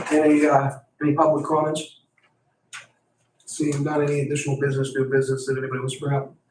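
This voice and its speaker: A man with a fairly high pitch and a somewhat breathy voice talks very fast in a flat monotone, with long, frequent pauses. Audible room echo surrounds his voice. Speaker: county commissioner chairing meeting. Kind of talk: public meeting proceedings. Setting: meeting room. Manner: formal.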